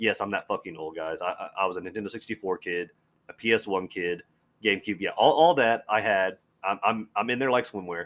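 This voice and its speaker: This man has a normal speaking voice, fairly low in pitch with ordinary pitch variation. The recording is very clean, with a silent background. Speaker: podcast host, comic and movie fan. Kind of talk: casual solo podcast monologue, profane. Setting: home podcast recording, solo.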